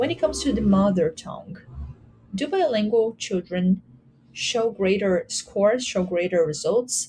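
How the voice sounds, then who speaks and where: A woman's voice at a medium pitch, with lively intonation and a Portuguese accent, over noticeable background noise. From Brazil. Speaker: academic researcher presenting a paper. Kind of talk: conference presentation. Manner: some hesitations and fillers.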